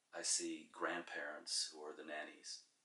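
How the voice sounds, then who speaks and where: A man with a New York accent. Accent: New York American. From New York, US. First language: Czech. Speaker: interviewee. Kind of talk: interview. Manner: halting.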